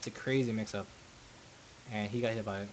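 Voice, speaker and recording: Mumbling speech at a moderate pace. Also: man. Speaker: fighting game player. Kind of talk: gameplay commentary. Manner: mumbling, hesitant.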